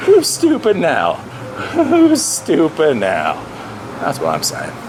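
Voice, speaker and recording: A man talks at a very slow pace. There is noticeable background noise. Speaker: vlogger. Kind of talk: casual vlog monologue. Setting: outdoors, walking with camera. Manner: stutters at times.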